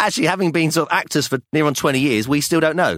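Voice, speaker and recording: In a southern English accent, a man speaks at a fairly high pitch, the sound dry and close with no echo. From London, England. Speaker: podcast co-host, theatre actor, father. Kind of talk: casual chat.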